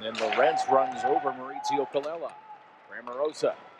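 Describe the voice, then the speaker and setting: Noticeable background noise fills the clip. The speaker is a man. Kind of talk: live commentary. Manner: punchy, rising calls on each goal.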